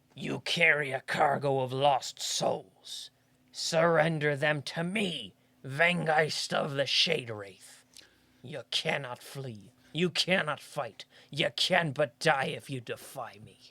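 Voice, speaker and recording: Someone uses a put-on character voice, pitched low-to-middle and delivered at a fairly slow pace. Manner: sneering; evil, menacing.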